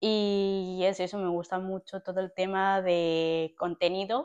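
A woman uses a normal speaking voice at a medium pitch with fairly even intonation, the sound dry and close with no echo. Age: 20s. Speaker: podcast co-host. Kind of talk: casual chat.

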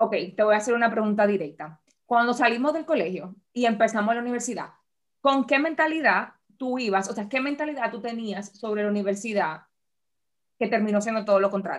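A plain, everyday voice from a woman, fairly high in pitch, at a fairly quick pace with ordinary pitch variation. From Dominican Republic. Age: 30s. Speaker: podcast co-host. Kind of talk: casual chat.

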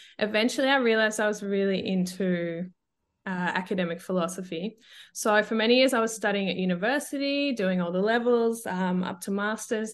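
Against a quiet background, a woman with an Australian accent talks at a fairly quick pace and medium pitch, with ordinary pitch variation. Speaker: feminism educator. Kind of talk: casual interview.

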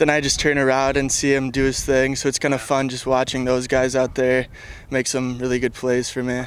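A man at a medium pitch with monotone, flat intonation and a fairly quick pace, over noticeable background noise. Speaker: college pitcher. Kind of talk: casual pregame interview. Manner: casual, filler-laden.

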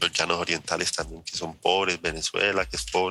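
A man speaks with a bright, sharp tone. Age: 30s. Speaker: agronomist. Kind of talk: interview.

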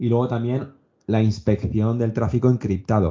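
A man with an ordinary speaking voice, fairly low pitch and fairly even intonation. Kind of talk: casual chat.

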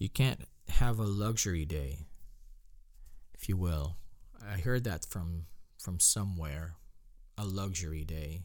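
A man's very deep, low voice with ordinary pitch variation, at a fairly slow pace with long, frequent pauses. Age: 20s. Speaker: podcast host. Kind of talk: solo podcast monologue. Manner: halting, many fillers and restarts.

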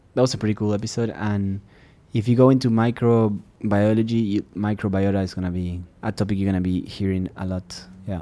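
Fairly low in pitch and dark and mellow in tone, a man speaks at a fairly quick pace with fairly even intonation on a very clean recording with a silent background. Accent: Spanish. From Uruguay. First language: Spanish. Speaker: podcast host and scientist. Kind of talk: casual chat.

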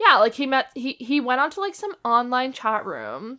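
Her high pitch and bright, sharp tone stand out as this woman speaks. She sounds animated and keeps a moderate pace. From Canada. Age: 20s. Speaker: horror movie podcast co-host. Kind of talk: casual chat.

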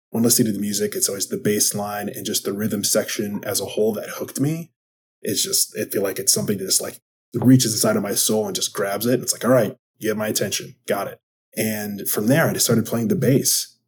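Very fast male speech with an American accent, medium in pitch and somewhat breathy. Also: ordinary pitch variation. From Wisconsin. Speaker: podcast host and sports psychology coach. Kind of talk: solo podcast monologue.

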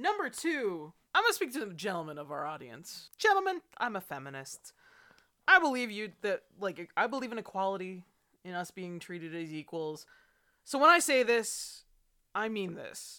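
A woman with a bright, sharp tone speaks at medium pitch and a moderate pace, her pitch swinging very widely and her loudness shifting a lot. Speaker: podcast co-host. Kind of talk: casual chat with commentary.

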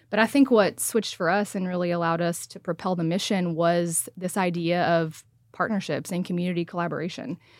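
On a very clean recording with a silent background, a woman with a fairly low pitch talks at a fairly quick pace with fairly even intonation. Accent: Texan. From Texas. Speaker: nonprofit founder. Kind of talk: casual chat.

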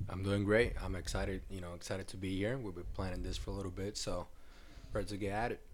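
A man's fairly low voice at a very fast pace, with fairly even intonation and audible room echo. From Puerto Rico. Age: 20s. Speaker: basketball graduate assistant coach. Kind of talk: casual interview.

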